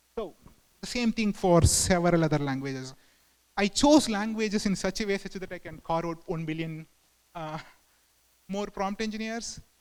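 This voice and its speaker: With a high pitch for a man, he speaks at a moderate pace with ordinary pitch variation, big swings in loudness, and long, frequent pauses. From southern India. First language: Tamil. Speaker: engineering manager, conference speaker. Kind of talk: conference talk. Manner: halting, many fillers.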